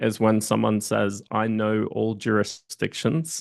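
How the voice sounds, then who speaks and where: A man with an Australian accent speaks very slowly. His pitch is fairly low, and the background is quiet. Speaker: entrepreneur and M&A advisor. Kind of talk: casual interview chat.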